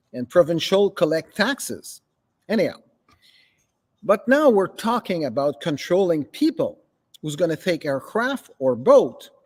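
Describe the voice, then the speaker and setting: A man speaks fairly slowly at a high pitch, his pitch swinging very widely, with long, frequent pauses. The recording is very clean, dry and close, with a silent background and no echo. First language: French. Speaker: local political commentator. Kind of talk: political commentary monologue. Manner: halting.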